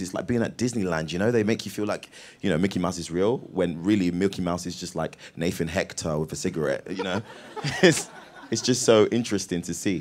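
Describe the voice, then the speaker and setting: The speaker is a man with lively intonation. He moves at a fairly quick pace. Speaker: actor. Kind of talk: casual live Q&A interview answer to audience. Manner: energetic, jokey, animated.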